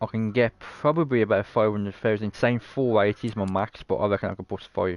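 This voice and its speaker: With a British accent, a man talks at a moderate pace in a medium pitch and fairly even intonation, the sound dry and close with no echo. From Britain. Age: 30s. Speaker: video game streamer. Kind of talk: casual live-stream gameplay commentary.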